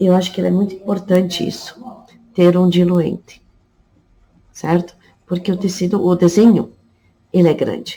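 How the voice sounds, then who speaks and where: A woman speaks at a moderate pace and medium pitch, with long, frequent pauses. Her intonation is monotone and flat. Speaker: fabric painting teacher. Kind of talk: tutorial. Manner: casual.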